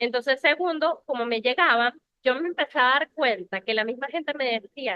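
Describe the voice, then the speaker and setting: A woman's high voice rises and falls with lively intonation as she talks fairly slowly. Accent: Venezuelan. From Venezuela. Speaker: lawyer. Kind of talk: interview conversation. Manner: animated.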